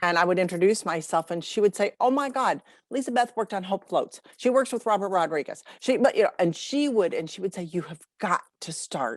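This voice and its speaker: Over a very clean recording with a silent background and a dry, close sound with no echo, a woman talks fairly quickly in a plain, everyday voice at medium pitch, with lively intonation and big swings in loudness. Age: 60s. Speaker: marketing professional and author. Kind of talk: interview.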